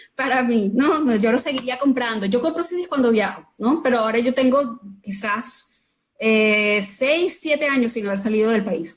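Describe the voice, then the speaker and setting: In a Venezuelan accent, a woman speaks at a moderate pace with a fairly high pitch and ordinary pitch variation. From Venezuela, Caracas. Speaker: artist. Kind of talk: casual chat. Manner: halting.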